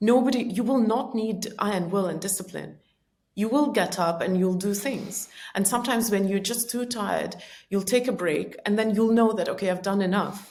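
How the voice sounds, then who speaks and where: In a room with audible echo, a woman speaks somewhat breathily at a medium pitch with ordinary pitch variation. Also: moderate pace. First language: Estonian or Russian. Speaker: personal growth author and speaker. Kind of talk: podcast interview. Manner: many filler words and self-corrections.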